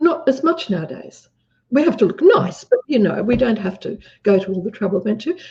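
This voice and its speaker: A woman speaks in an Australian accent, fairly high in pitch with very wide pitch swings. Her tone is dark and mellow, somewhat breathy, and her pace is fairly quick. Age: 70s. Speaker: businesswoman. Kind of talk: interview.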